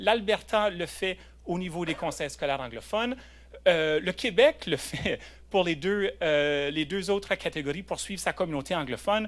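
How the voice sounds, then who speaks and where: This man's high voice carries lively intonation. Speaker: lawyer. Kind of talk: conference panel talk. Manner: hesitant, many fillers and repetitions; switches between French and English.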